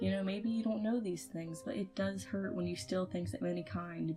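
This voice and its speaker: There is music behind the voice. The speaker is a woman. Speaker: 3D animator. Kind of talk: casual talk to camera. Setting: home recording, poor mic.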